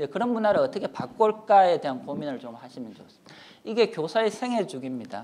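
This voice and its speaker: A man's high, dark, mellow voice at a very fast pace, with very wide pitch swings and big swings in loudness. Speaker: professor. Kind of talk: lecture.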